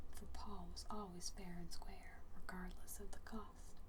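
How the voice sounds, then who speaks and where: The speech moves at a fairly slow pace. It comes with a Southern US accent. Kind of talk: bedtime story reading. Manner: soft-spoken, quiet.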